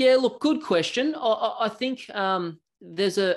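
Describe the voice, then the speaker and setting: A man talks with an Australian accent, his pitch swinging very widely. The background is quiet. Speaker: software company representative; presenter. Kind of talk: product demo. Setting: video call. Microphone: video call.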